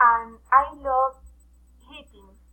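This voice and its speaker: A woman's raised, projected voice, high in pitch and bright and sharp in tone, at a very slow pace with fairly even intonation. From Colombia, Pasto, Nariño. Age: 20s. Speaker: personal trainer. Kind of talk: self-introduction in a foreign language. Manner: halting, hesitant.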